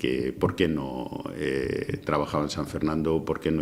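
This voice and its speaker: A man speaks at a very deep, low pitch amid noticeable background noise. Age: 60s. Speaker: former mayor. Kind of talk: interview. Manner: halting.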